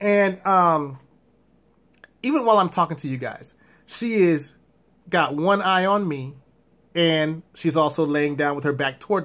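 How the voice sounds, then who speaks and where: Long, frequent pauses and ordinary pitch variation on a very clean recording with a silent background. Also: man, fairly high pitch for a man. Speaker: blind vlogger with guide dog. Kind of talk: casual vlog monologue. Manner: fast.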